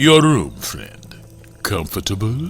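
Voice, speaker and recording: A man performs a put-on character voice, pitched fairly low with very wide swings. Music plays clearly in the background. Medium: audio drama. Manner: smooth, courteous, faintly menacing.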